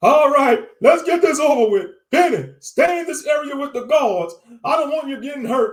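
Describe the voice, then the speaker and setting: The speaker uses a put-on character voice. Words come at a moderate pace. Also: man, extremely high pitch for a man. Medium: read story. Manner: jumpy, flustered.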